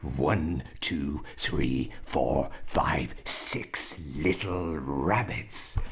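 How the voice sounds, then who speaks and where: Using a put-on character voice, a man speaks at a very slow pace with very deep, low pitch and hardly any pauses, over light background noise. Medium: read story. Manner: gloating, gruff.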